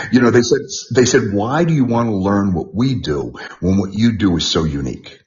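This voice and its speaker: A man with an American accent, fairly low pitch, vocal fry, very wide pitch swings, a fairly quick pace and audible room echo. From New York, the Bronx. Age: 60s. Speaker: martial arts trainer. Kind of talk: interview. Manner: halting, repetitive.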